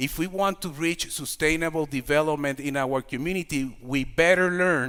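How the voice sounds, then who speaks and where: A man speaks with a Puerto Rican accent at a fairly high pitch. His pitch varies in an ordinary way. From Puerto Rico. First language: Spanish. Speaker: community organization leader. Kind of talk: lecture. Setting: stage with audience. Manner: halting.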